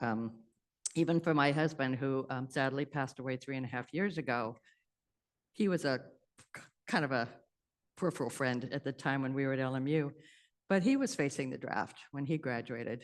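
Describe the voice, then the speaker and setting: Over a quiet background, a woman talks at a fairly quick pace with a very deep, low pitch. Her pitch varies in an ordinary way, and long, frequent pauses break up her speech. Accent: American. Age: 70s. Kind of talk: talk to audience. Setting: room with audience and Zoom. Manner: halting.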